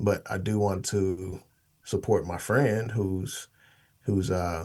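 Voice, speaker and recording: In a very clean recording with a silent background, a man with an American accent talks at a very slow pace, his fairly low pitch carried by fairly even intonation. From Oklahoma City, then Washington state from age 13. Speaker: podcast guest, financial media host. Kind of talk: interview conversation. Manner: many fillers and repetitions.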